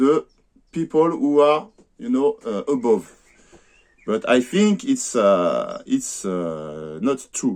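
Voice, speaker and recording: With a French accent, a man speaks very slowly, his pitch swinging very widely. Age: 50s. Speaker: amateur boxer and vlogger. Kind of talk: personal vlog monologue. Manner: halting, many hesitations.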